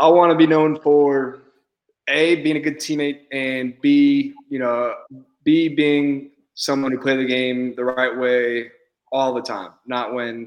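At a fairly slow pace, a man talks in an ordinary speaking voice. His pitch is medium and his intonation fairly even. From Houston, Texas. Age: 20s. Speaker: professional baseball player. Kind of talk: interview.

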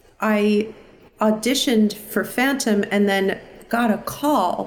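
A woman with an American accent at a very slow pace, ordinary pitch variation, and noticeable background noise. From US Northeast (New York/New Jersey area). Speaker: musical theatre performer. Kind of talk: casual interview.

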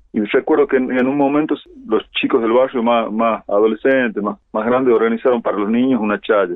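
A man with an unremarkable speaking voice, medium in pitch and showing ordinary pitch variation, talks at a fairly quick pace. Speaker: musician and songwriter. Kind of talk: interview.

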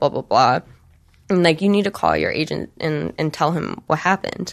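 This is a plain, everyday voice with an American accent. It moves at a moderate pace over a quiet background. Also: woman. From Michigan, US Midwest. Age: 20s. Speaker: adult film performer and director. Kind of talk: interview.

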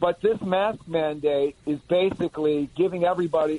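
A man with a fairly high pitch has an unremarkable speaking voice. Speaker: county executive, politician. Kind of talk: radio interview.

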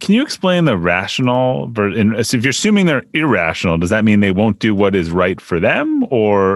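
A man's plain, everyday voice, fairly low in pitch, at a fairly quick pace with hardly any pauses and lively intonation, in a dry, close sound with no echo against a quiet background. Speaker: podcast host. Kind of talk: interview.

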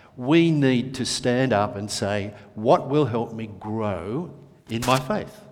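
A man's medium-pitched voice at a very slow pace, with noticeable background noise. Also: ordinary pitch variation. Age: 60s. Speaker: preacher. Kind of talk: prayer; sermon. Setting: church.

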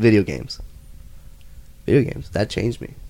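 A man with an American accent speaks in a fairly low voice with vocal fry. His intonation is lively. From El Paso, Texas. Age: 20s. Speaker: podcast guest. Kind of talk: casual chat.

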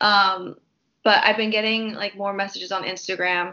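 Speaking at a fairly quick pace and fairly high pitch, a woman uses an ordinary speaking voice. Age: 20s. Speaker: actress. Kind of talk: interview.

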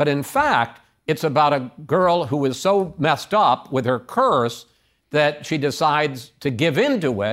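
A man speaks in a plain, everyday voice at a fairly high pitch. His pace is fairly slow, with very even loudness and ordinary pitch variation. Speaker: interviewer. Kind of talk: interview.

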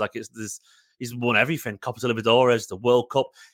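A man with a Manchester accent talks at a very fast pace in a bright, sharp, animated tone at medium pitch, on a very clean recording with a silent background. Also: dry, close sound with no echo. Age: 30s. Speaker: football fan. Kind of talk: casual interview.

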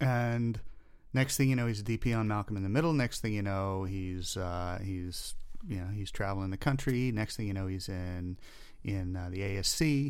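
With audible room echo, a man in an American accent speaks at a moderate pace and a fairly low pitch. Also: ordinary pitch variation. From US Southeast, North and South Carolina, then Florida. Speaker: camera first assistant. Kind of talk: casual chat.

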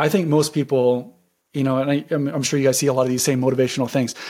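A man with an unremarkable speaking voice talks at medium pitch with fairly even intonation on a very clean recording with a silent background. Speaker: real estate wholesaler. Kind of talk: casual interview chat.

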